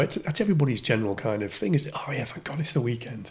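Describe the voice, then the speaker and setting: There is noticeable background noise behind the voice. A man talks at a very fast pace. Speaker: radio DJ. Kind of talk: podcast interview answer. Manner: casual, hesitant.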